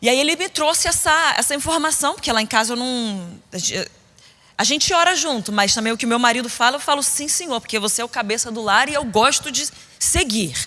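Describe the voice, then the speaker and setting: A woman's high-pitched, animated voice at a fairly quick pace. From Rio de Janeiro, Brazil (Niterói), later São Paulo. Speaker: preacher. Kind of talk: sermon. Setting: stage with audience at women's conference.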